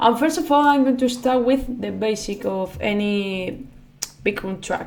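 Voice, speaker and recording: A woman's fairly high voice in a non-native accent, lively intonation and a fairly slow pace, with audible room echo. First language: not English. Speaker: music producer, YouTuber. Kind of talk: tutorial. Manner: halting, many fillers.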